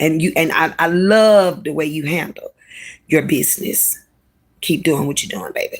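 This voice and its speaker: A woman with a Louisiana accent speaks at a moderate pace in an animated tone. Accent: Southern US (Louisiana). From Louisiana, Baton Rouge. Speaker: live streamer. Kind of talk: casual livestream chat.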